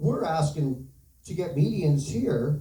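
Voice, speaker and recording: A man's somewhat breathy voice, dark and mellow in tone, moves at a fairly slow pace with audible room echo. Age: 60s. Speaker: bereaved parent speaking at town hall. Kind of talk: public testimony.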